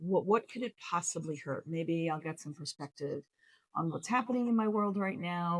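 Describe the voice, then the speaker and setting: With a plain, everyday voice, a woman speaks at a fairly low pitch and a moderate pace. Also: dry, close sound with no echo. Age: 60s. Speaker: lifestyle vlogger. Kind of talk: casual storytelling to camera. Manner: chatty, with many fillers.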